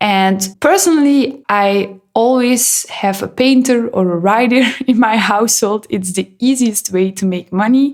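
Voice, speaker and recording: In a non-native accent, a woman speaks at a medium pitch. Her pace is fairly slow, and her pitch varies in an ordinary way. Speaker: gaming YouTuber. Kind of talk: voiceover commentary.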